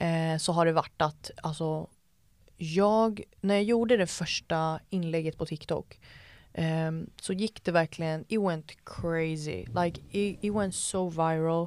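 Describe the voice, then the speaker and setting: A woman speaks at a very slow pace with a fairly low pitch and fairly even intonation. The recording is very clean, with a silent background. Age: 20s. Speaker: entrepreneur and TikTok creator. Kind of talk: casual chat.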